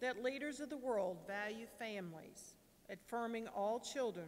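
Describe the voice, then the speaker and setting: Fairly slow speech from a woman, with ordinary pitch variation. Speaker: lector and prayer reader. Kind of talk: scripture reading and intercessions, fervent prayer. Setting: church. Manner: earnest, slightly halting at times. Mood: calm, solemn. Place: church. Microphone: podium.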